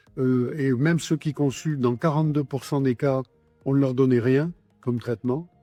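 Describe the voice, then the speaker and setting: Music plays in the background of a dry, close sound with no echo. A man with a medium pitch speaks at a moderate pace with fairly even intonation. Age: 70s. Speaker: patient association president. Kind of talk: interview testimony. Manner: hesitant, many fillers.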